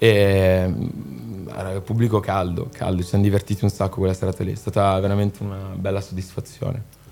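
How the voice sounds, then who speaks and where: The man's voice is fairly low, with a dark, mellow tone. He moves at a fairly quick pace with monotone, flat intonation. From Milan, northern Italy. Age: 20s. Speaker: singer-songwriter. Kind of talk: casual interview chat.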